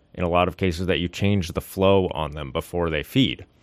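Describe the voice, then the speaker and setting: The speaker has an American accent. Pitch variation is ordinary. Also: man. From US Pacific Northwest, Seattle area. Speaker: aquarist, marine biologist. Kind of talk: casual interview.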